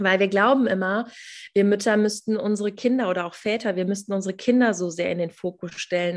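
A woman's normal speaking voice at medium pitch, moderate pace, very clean recording with a silent background. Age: 30s. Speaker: mentor and coach for mothers, former nurse. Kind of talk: interview.

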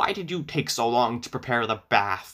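In a put-on character voice, a man growls at medium pitch, sounding croaky. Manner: croaking, angry.

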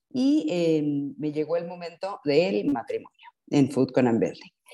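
A woman with a Mexican accent, very deep and low in pitch, dark and mellow in tone, fairly slow, with very wide pitch swings. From Mexico. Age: 50s. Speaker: advertising professional and mother. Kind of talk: interview conversation. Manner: halting, many fillers.

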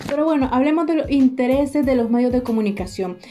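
A woman talks. Background noise can clearly be heard around her. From Nicaragua. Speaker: student podcast host. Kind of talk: scripted explanatory talk.

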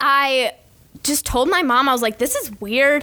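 A woman with an American accent speaks in a raised, projected voice with a bright, sharp tone. Her pitch is high, with ordinary variation, and her pace is moderate. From Michigan, US Midwest. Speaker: college gymnast and podcaster. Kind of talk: casual interview. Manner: animated.

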